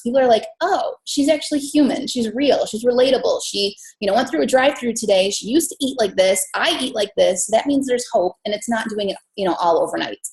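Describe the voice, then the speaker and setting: A woman's fairly high, somewhat breathy voice with an American accent and ordinary pitch variation. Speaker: fitness business coach. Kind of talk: team call presentation. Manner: fast.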